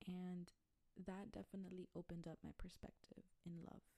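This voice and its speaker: This woman's voice has a dark, mellow tone and is somewhat breathy. She talks at medium pitch and a moderate pace. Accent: American. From Texas, Brownsville. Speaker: podcast host, spiritual wellness coach. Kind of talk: casual solo podcast monologue. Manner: casual, conversational.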